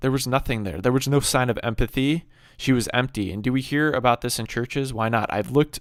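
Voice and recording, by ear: In a natural voice, a person reads aloud.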